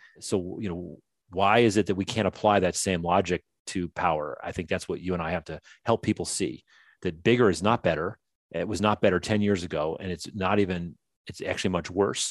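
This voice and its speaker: A man with an American accent speaks at a very deep, low pitch and a fairly even intonation, his dry, close sound carrying no echo over a quiet background. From northern US. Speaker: author and former tech executive. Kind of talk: interview conversation. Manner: halting, frequent restarts.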